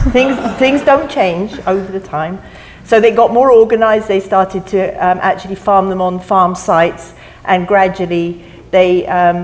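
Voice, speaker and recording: A woman speaks with a strong non-native accent and ordinary pitch variation. Background noise is noticeable throughout. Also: medium pitch for a woman, moderate pace. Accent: non-American accent, still strong. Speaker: mussel farmer. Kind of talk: panel discussion.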